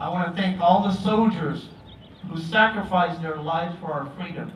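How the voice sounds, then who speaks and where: A man with an American accent speaks at a high pitch with fairly even intonation, amid noticeable background noise and audible room echo. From Vietnam, raised in southern California. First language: Vietnamese. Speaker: elected official, former refugee. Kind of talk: commemorative speech.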